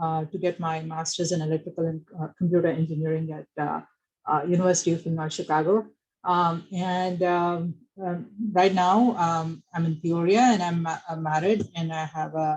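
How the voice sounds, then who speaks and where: At a moderate pace, the speaker uses fairly even intonation and a strong Indian accent. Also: woman. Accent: thick Indian. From India, Bangalore. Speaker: electrical engineer. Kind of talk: presentation. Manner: halting, many fillers.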